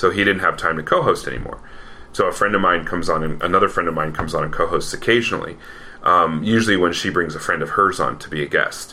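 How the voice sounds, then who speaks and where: Background noise is clearly noticeable. Over it, a man speaks very quickly. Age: 40s. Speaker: podcast host. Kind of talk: casual chat. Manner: animated.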